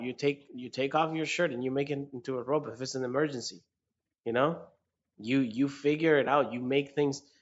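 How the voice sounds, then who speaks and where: A man with a Spanish accent and fairly high pitch speaks at a fairly quick pace. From rural Mexico. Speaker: podcast co-host. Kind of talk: casual chat. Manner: animated.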